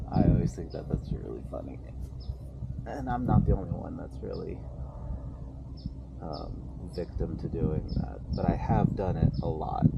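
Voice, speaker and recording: A quiet man with a very deep, low pitch talks at a moderate pace, with fairly even intonation, big swings in loudness, and long, frequent pauses. Noticeable background noise and audible room echo fill the recording. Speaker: vlogger. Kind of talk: casual vlog monologue. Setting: outdoors.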